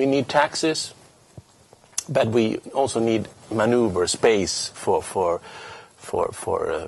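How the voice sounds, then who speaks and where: A man's voice comes through with noticeable noise in the background. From Sweden. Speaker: politician. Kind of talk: interview. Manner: halting, many repeated words.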